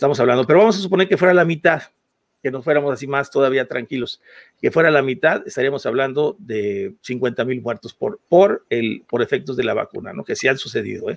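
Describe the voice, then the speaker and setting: A man with a plain, everyday voice and fairly high pitch, talking at a fairly quick pace in a dry, close sound with no echo. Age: 50s. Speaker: podcast co-host. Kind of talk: heated debate.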